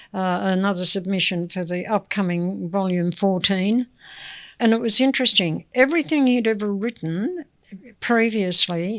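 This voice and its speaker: In a very clean recording with a silent background, a voice with an Australian accent moves at a fairly slow pace with ordinary pitch variation. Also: woman. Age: 80s+. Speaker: community elder. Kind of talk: interview.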